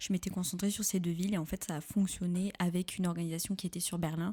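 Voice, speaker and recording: A woman's dark, mellow, somewhat breathy voice at medium pitch, fairly quick and monotone, with flat intonation, on a very clean recording with a silent background. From southwestern France, Pau. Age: 20s. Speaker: podcast guest. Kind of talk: casual interview. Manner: hesitant, many fillers.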